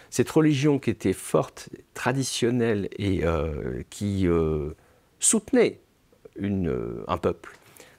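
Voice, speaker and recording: Speaking at a very slow pace, a man with a fairly low pitch swings widely in pitch, recorded very cleanly against a silent background with a dry, close sound and no echo. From France. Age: 60s. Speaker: novelist. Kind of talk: interview. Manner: hesitant, many fillers.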